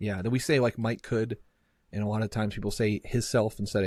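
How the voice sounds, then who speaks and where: Somewhat breathy and fairly low in pitch, a man with an American accent talks at a fairly quick pace in a very clean recording with a silent background. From Massachusetts and East Tennessee. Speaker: podcast host. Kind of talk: casual chat.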